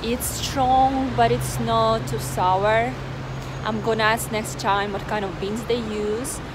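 A woman speaks at a fairly slow pace, with a dry sound and no echo, over noticeable background noise. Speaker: vlogger. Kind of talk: casual vlog chat. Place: street. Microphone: phone near.

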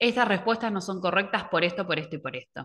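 There is a quiet background. A woman speaks at a fairly quick pace. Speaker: educational technology advisor; presenter. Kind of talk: online workshop presentation. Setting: video call. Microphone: webcam.

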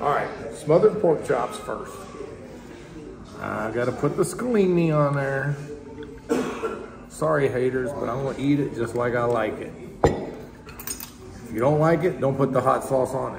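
A man speaks at a fairly slow pace with long, frequent pauses over noticeable background noise. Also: ordinary pitch variation. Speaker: food reviewer. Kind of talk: casual food review commentary. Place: cafe.

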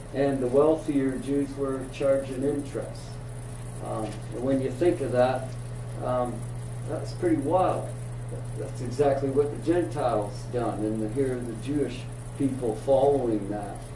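A man speaks at a fairly slow pace with fairly even intonation, leaving long, frequent pauses. Noticeable background noise is present. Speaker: Bible class teacher. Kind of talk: lecture. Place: classroom.

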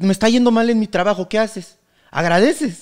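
In a quiet background, a man talks at a moderate pace with a high pitch. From Mexico, Querétaro; Mexico. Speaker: comedian; podcast guest, comedian. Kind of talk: casual chat. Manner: halting. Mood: joking, animated storytelling. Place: studio. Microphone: studio mic.

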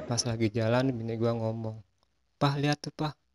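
Delivered at a moderate pace with fairly even intonation, a man's voice comes across dry and close with no echo. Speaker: stand-up comedian and logo designer. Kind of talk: stand-up comedy routine of setup-and-punchline jokes.

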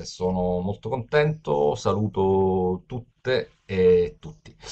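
A man speaks very slowly yet with lively intonation. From Sicily, Palermo; Sicily. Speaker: open data expert; webinar presenter. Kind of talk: webinar lecture. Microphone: video call.

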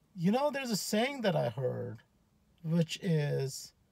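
A man talks at a very slow pace with a high pitch. The sound is dry with no echo, and the background is quiet. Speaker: motivational speaker. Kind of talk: casual vlog chat. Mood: earnest, motivational. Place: car. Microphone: phone near.

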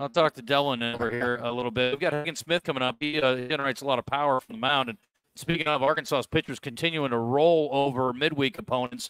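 With music in the background and a dry sound with no echo, a man speaks very fast with hardly any pauses and ordinary pitch variation. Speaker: radio show host. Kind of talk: sports radio talk. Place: shop. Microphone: headset.

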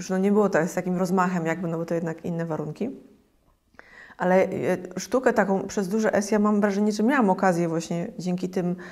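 Against a quiet background, a woman speaks at a very fast pace. Her intonation stays fairly even. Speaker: interview guest. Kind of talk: interview answer. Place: home room. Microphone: lapel.

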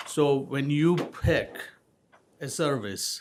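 This man has a normal speaking voice, fairly high in pitch, with ordinary pitch variation. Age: 60s. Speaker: resident speaking at public comment. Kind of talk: public comment at town meeting.

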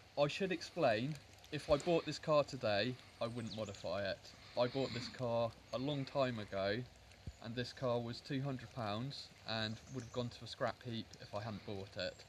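Over light background noise, a man talks at a moderate pace with ordinary pitch variation and long, frequent pauses. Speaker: interviewee. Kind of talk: interview answer. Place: garden. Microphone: phone near.

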